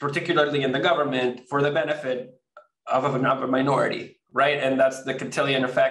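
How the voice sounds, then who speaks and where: Audible room echo surrounds a man who speaks very fast at a fairly high pitch. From Venezuela. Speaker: crypto company co-founder. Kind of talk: interview. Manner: halting, many fillers and repeats.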